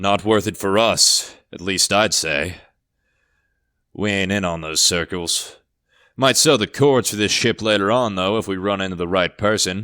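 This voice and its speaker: A man's gruff, put-on character voice, fairly low in pitch at a moderate pace, on a very clean recording with a silent background. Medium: read story. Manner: gruff, curt.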